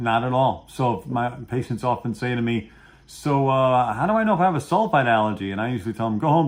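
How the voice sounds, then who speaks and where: A man with a Brooklyn accent talks at a fairly quick pace and medium pitch in an animated tone. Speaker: pharmacology educator. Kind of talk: interview on a video program.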